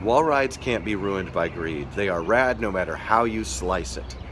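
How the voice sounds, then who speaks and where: Over noticeable background noise, a man speaks with a very deep, low pitch. His delivery has very wide pitch swings at a moderate pace. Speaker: skateboarding livestream host. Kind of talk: casual live stream chat. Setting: live stream. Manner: halting, many fillers and restarts.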